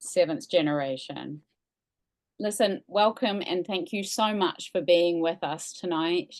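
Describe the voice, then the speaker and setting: Against a quiet background, a woman with a New Zealand accent talks at a medium pitch and a fairly slow pace, her intonation lively. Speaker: museum staff, event host. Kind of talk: event introduction.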